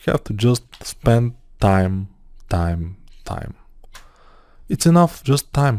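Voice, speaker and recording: Long, frequent pauses break up a voice with a dark, mellow tone and lively intonation. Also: man. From Bulgaria. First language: Bulgarian. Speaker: 3D modeling tutor. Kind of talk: tutorial. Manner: casual, halting with fillers.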